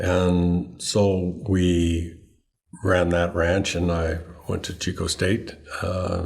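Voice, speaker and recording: This man has a very deep, low pitch and an American accent, his voice somewhat breathy and his intonation monotone and flat. Audible room echo surrounds him. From Northern California, Sacramento Valley. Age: 70s. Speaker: farmer and rancher. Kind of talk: interview.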